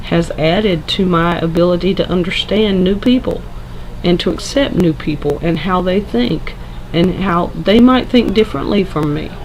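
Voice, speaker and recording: Over noticeable background noise, a woman talks at a moderate pace in a fairly low voice with ordinary pitch variation. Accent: Southern US. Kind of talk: casual talk to camera.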